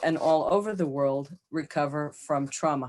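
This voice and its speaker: A woman with an American accent, a very deep, low pitch, fairly even intonation and a fairly slow pace against a quiet background. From United States. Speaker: psychologist, author. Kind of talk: podcast interview.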